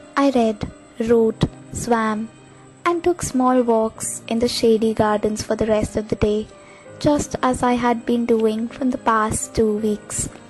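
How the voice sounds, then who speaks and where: Against music in the background, a woman with a fairly high pitch talks at a fairly slow pace with fairly even intonation. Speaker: voice-over artist. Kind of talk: short story narration. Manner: emotional, reflective.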